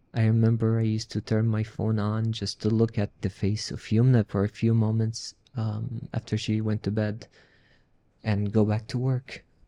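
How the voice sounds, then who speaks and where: A man with an Arabic accent speaks at a moderate pace in a flat, monotone delivery, his dark, mellow tone captured in a dry, close sound with no echo. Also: medium pitch for a man. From Palestinian, raised in a refugee camp in Syria. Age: 40s. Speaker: refugee sharing his story, peace NGO worker. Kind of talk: interview testimony.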